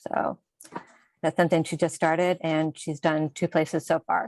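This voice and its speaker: Soft-spoken and at a moderate pace, the voice comes through dry and close with no echo on a very clean recording with a silent background. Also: woman. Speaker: health department staff presenter. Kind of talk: meeting report.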